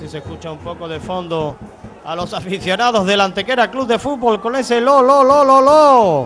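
At a moderate pace, a man with a high pitch talks in an animated tone with lively intonation and big swings in loudness, over light background noise. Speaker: football commentator. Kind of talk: live commentary. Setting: stadium commentary position.

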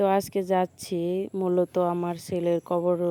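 A woman's fairly low-pitched voice with a dark, mellow tone and monotone, flat intonation. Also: dry, close sound with no echo. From Bangladesh, Tangail. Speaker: vlogger. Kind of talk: casual vlog narration.

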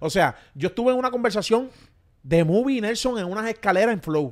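Pitched high, a man talks at a fairly quick pace with very wide pitch swings. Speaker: podcast host. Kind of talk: casual interview. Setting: on location in Miami.

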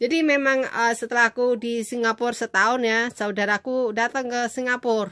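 A woman with a high pitch and a bright, sharp tone talks at a fairly quick pace with fairly even intonation and hardly any pauses. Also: quiet background. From Indonesia, village background. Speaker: vlogger, former migrant domestic worker; vlogger. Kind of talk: personal storytelling vlog. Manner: halting. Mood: relaxed, reminiscing. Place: home room. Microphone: phone near.

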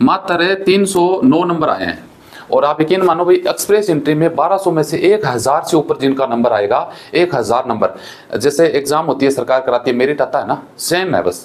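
A man talks at a moderate pace in an ordinary speaking voice. His pitch is fairly high and his intonation lively. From India. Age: 30s. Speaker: immigration advice YouTuber; presenter. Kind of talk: tutorial. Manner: casual, conversational. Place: studio.

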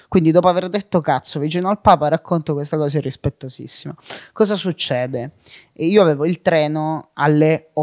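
This is a plain, everyday voice, a man speaking at a fairly quick pace with a fairly high pitch and ordinary pitch variation, dry and close with no echo on a very clean recording with a silent background. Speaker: comedian and content creator. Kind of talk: casual interview.

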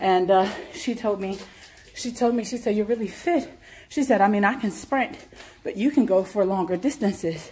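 At a moderate pace, a woman with a fairly high pitch talks with ordinary pitch variation and long, frequent pauses. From United States. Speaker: university lecturer and fitness vlogger; university lecturer, fitness vlogger. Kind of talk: casual vlog monologue. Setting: outdoors.

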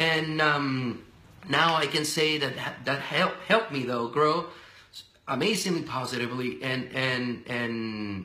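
A man with a Spanish accent speaks at a medium pitch with audible room echo. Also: ordinary pitch variation, fairly slow pace. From Venezuela. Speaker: radio and TV personality. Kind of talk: casual interview. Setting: live video stream. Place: office. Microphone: webcam.

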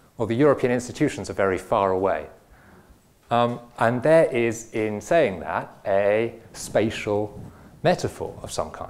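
At a fairly slow pace, a man talks with ordinary pitch variation. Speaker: philosopher. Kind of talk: lecture. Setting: stage with audience. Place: hall. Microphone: lapel.

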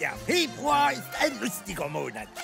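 A cartoonish character voice with vocal fry and a fairly bright tone swings very widely in pitch at a moderate pace over faint background music.

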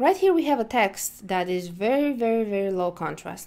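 This is an ordinary speaking voice with lively intonation at a moderate pace, captured in a very clean recording over a silent background. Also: woman. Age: 20s. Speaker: accessibility instructor. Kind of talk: tutorial.

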